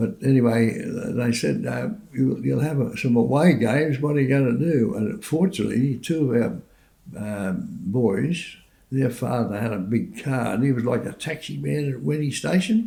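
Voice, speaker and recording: A man with an Australian accent speaks at a medium pitch with very wide pitch swings. Audible room echo is present. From Sydney, Australia. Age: 80s+. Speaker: war veteran. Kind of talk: testimony. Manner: halting.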